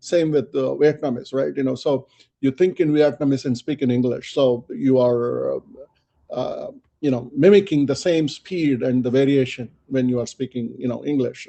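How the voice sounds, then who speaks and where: Pitch variation in this man's voice is ordinary. He keeps a moderate pace. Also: medium pitch for a man. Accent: non-native. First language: not English. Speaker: quality and lean six sigma expert. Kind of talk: webinar interview.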